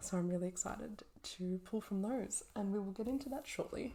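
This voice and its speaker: A soft-spoken woman talks at a fairly slow pace in a medium pitch. Her intonation is lively. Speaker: naturopath and fertility educator. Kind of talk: soft-spoken ritual and oracle card reading.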